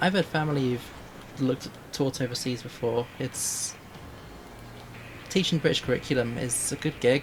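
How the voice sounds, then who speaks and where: Quiet speech at a moderate pace, with long, frequent pauses. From northern England. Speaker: vtuber streamer. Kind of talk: casual gaming livestream chat.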